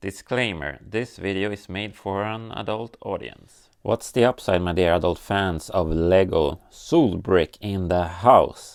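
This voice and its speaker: At a fairly slow pace yet with hardly any pauses, a man in a Scandinavian accent speaks at a very deep, low pitch on a very clean recording with a silent background. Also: ordinary pitch variation. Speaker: LEGO builder and YouTuber. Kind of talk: casual vlog tutorial.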